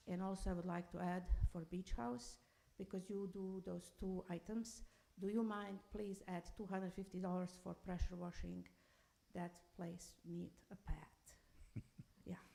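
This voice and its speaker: A woman with a non-native accent speaks at a medium pitch and a fairly slow pace. Her intonation stays fairly even, and she pauses often and at length. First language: not English. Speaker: public commenter, construction worker. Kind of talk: public comment at council meeting. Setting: city council meeting.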